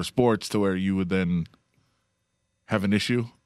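The man talks at a fairly quick pace with fairly even intonation. His recording is very clean, the background silent. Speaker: radio host. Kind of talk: casual banter. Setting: studio.

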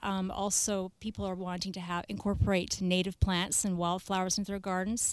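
Woman of medium pitch with a Canadian accent, monotone and flat, at a moderate pace. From Canada, Victoria BC. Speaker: landscape designer. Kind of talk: casual chat. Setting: studio.

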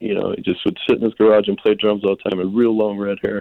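In an American accent, a man uses an ordinary speaking voice at a fairly low pitch. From US South, northeast Florida (Jacksonville). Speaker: rock band singer. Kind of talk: casual interview.

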